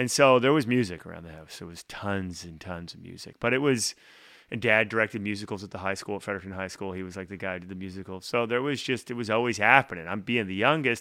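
Speaking at a very fast pace in an Atlantic Canadian accent, this bright, sharp voice has ordinary pitch variation on a very clean recording with a silent background. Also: man, fairly low pitch for a man, big swings in loudness. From Atlantic Canada. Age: 40s. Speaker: singer-songwriter. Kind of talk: casual interview.

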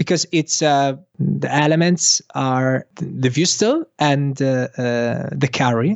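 A man with an Italian accent speaks at a very slow pace in a fairly high pitch, with very even loudness and hardly any pauses. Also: ordinary pitch variation. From Italy. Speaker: Instagram consultant, local guide. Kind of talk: casual interview. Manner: halting, many fillers.

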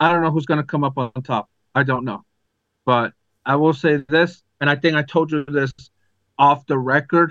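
A man with an American accent speaks at a fairly high pitch and a moderate pace, with fairly even intonation and long, frequent pauses. The sound is dry and close with no echo, over a quiet background. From Arizona. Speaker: sports podcast co-host. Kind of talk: casual chat. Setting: video call.

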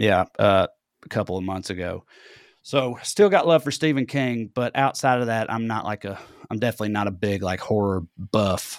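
Here a man with a Southern US accent talks at a moderate pace. His pitch sits fairly low with ordinary variation, and the sound is dry and close with no echo. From US South (Tennessee). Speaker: comedian. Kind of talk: casual chat.

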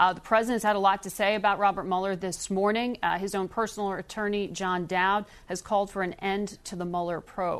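At a fairly quick pace, a woman speaks in a monotone, flat intonation at a medium pitch. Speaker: TV news host. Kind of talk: news interview.

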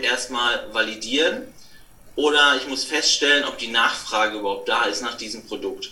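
A man speaks at a moderate pace in a room with audible echo and noticeable background noise. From Ruhr area, Germany (near Dortmund). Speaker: online marketing consultant. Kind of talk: interview. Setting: remote recording.

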